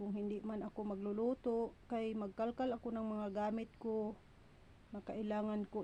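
The speaker is a woman whose voice sits at a fairly high pitch. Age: 40s. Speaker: vlogger. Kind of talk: casual vlog monologue. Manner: talkative.

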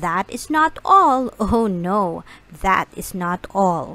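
A woman puts on a character voice that is bright and sharp in tone. She talks slowly with big pitch swings. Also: medium pitch for a woman.

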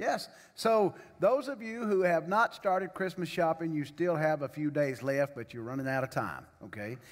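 Little sound lies behind the speech, which goes at a middling speed. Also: man. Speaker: pastor. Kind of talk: sermon welcome and announcements. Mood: jovial, joking. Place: church. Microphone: podium.

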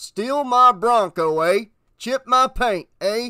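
A man's put-on character voice, extremely high in pitch, slow, clear and smooth, with a bright, sharp tone. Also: lively intonation.

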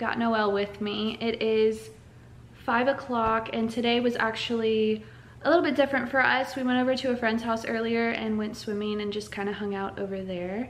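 Her pace is moderate. This woman keeps her intonation fairly even. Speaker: mom vlogger. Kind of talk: casual vlog chat. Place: kitchen. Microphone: phone near.

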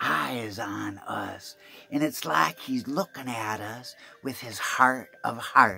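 A natural voice, reading aloud

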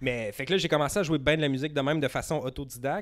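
A man with a Quebec accent talks at a fairly quick pace, his pitch varying in an ordinary way. The background is quiet. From Outaouais, Quebec (Gatineau area). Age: 30s. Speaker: podcast producer. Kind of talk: casual chat. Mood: relaxed storytelling. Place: home room. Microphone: handheld.

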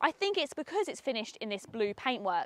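A high-pitched woman on a very clean recording with a silent background, the sound dry and close with no echo. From Essex, England. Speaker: car reviewer, video host. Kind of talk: car review presentation. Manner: enthusiastic.

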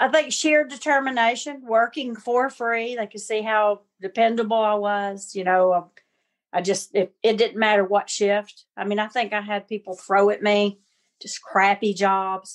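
Speaking at a moderate pace with long, frequent pauses, a woman with a Southern US accent has a fairly high pitch and ordinary pitch variation. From US South, Alabama. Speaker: chef. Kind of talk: casual interview.

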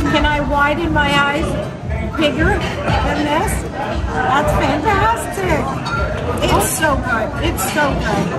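A woman's very slow speech over loud music in the background. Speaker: travel food vlogger. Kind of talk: casual vlog chat. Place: cafe. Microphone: phone near.

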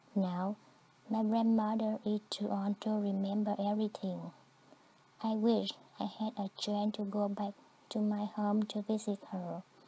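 A woman with a Vietnamese accent speaks somewhat breathily at a medium pitch and fairly slow pace, with monotone, flat intonation and long, frequent pauses. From southern Vietnam. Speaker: immigrant storyteller. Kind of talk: scripted narration.

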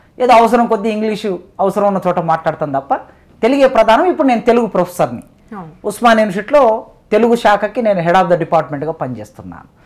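The intonation is lively. The background stays quiet. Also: man, high pitch for a man. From Telangana, Mahabubnagar district; Telangana. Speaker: professor. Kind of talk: interview. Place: studio. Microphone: lapel.

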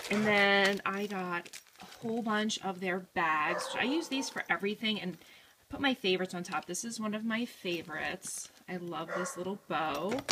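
Her voice has a bright, sharp tone and a slightly husky edge, as this woman speaks. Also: medium pitch for a woman, ordinary pitch variation, moderate pace.

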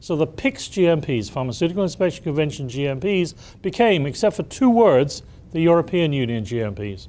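A man speaks with a fairly high pitch and a dark, mellow tone. His pitch swings very widely. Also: moderate pace. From Europe, Britain. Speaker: pharmaceutical quality consultant. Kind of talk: lecture. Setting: stage with audience. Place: meeting room. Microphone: lapel.

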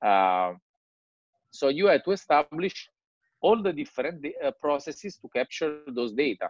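A man speaks with an Italian accent at a moderate pace, his pitch swinging very widely and his loudness in big swings. The sound is dry with no echo, over a quiet background. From Italy. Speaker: digital strategy consultant. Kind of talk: presentation. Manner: halting. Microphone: video call.

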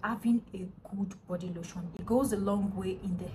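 Over noticeable background noise, a woman's somewhat breathy voice has a dark, mellow tone and fairly even intonation. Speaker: skincare vlogger. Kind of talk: casual vlog chat. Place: home room. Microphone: phone near.

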